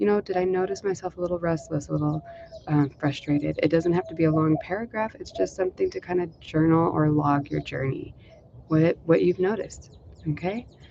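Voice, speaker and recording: A woman's fairly low voice moves at a fairly quick clip with ordinary pitch variation while noticeable background noise carries on behind her. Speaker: meditation teacher. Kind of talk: guided meditation. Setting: live stream at home. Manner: speaking up loudly. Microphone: no dedicated mic, may be quiet.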